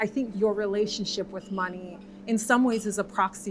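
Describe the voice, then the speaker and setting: Music plays in the background as a woman talks at a moderate pace. Her medium-pitched voice has monotone, flat intonation. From Jamaica. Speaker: corporate employee. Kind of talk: panel discussion.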